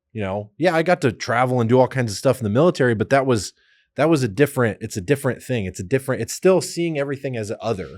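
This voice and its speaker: Using an ordinary speaking voice, a man talks at a fairly quick pace and medium pitch with lively intonation. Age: 30s. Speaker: podcast host, military veteran. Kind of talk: casual chat. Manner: conversational with frequent fillers.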